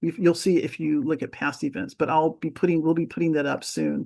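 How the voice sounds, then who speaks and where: A woman with an American accent and a fairly low pitch, against a quiet background. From California, US (San Diego). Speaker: birding presenter and nature guide. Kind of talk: Q&A answer in a talk. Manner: rambling, hesitant.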